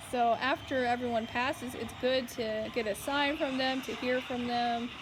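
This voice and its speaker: Over music in the background, a woman with a high-pitched voice speaks fairly slowly with fairly even intonation. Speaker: paranormal investigator. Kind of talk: casual chat.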